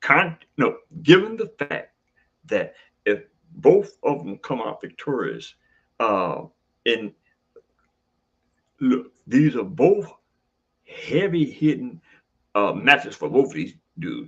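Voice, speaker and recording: This man talks at a very slow pace, leaving long, frequent pauses, and his loudness swings widely. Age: 70s. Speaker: boxing trainer and commentator. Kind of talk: casual video commentary. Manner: halting, many fillers and restarts.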